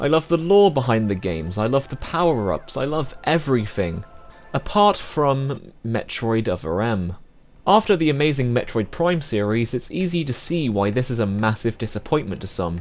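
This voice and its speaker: At a moderate pace, a man with a British accent talks at a medium pitch that swings very widely. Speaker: video game reviewer. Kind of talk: scripted review narration.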